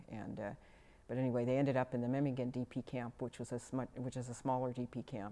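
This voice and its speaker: She speaks very fast with an American accent in a very deep, low voice. Her tone is dark and mellow, and her delivery is monotone and flat. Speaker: oral history interviewee. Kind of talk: oral history interview. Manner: halting, many fillers.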